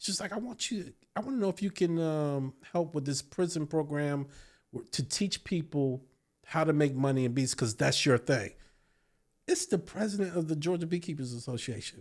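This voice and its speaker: In an American accent, a man uses a normal speaking voice at a fairly high pitch, talking at a moderate pace with lively intonation. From Virginia, US. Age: 50s. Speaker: beekeeper and entrepreneur. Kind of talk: casual interview chat.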